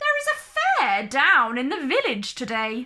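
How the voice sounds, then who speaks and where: At a moderate pace, a woman does a put-on character voice with a high pitch. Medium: read story. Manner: cold and cruel.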